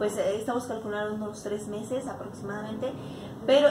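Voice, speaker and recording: Noticeable background noise fills the recording. Over it, a woman talks at a very fast pace. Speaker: actress and radio announcer. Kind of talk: interview answer. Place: home room.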